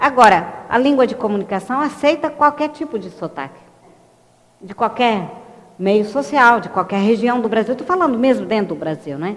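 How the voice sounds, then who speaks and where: Her fairly high voice swings very widely in pitch and greatly in loudness as this woman talks at a moderate pace over noticeable background noise. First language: French (speaking Portuguese). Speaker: linguistics educator. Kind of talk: lecture. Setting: live online broadcast.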